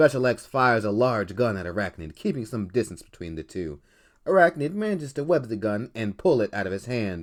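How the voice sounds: Delivered in a natural reading voice.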